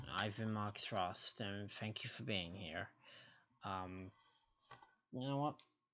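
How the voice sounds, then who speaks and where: Quiet and fairly low-pitched, a man speaks very slowly with long, frequent pauses and ordinary pitch variation. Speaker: gaming streamer. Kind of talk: live stream commentary. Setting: home stream, someone sleeping next door. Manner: quiet, keeping voice down; casual, halting.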